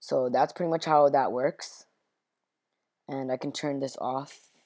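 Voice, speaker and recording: Against a very clean recording with a silent background, a woman with a very deep, low voice speaks fairly slowly in a flat monotone. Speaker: gaming tutorial maker. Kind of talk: casual screen-recorded game tutorial. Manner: a bit higher pitched than usual.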